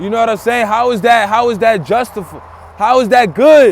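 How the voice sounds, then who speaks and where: A man speaks loudly in an animated tone at a moderate pace. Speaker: religious teacher. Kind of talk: sermon.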